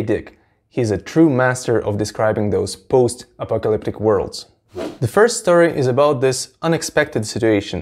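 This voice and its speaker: The speech moves at a moderate pace with lively intonation. The background is quiet. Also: man. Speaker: book channel host. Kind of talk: commentary. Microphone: lapel.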